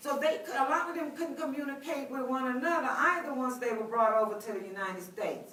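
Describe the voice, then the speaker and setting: A woman with an American accent speaks at a moderate pace in a high voice with lively intonation, and the room echo is audible. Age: 50s. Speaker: professor. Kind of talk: lecture. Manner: conversational, many filler words.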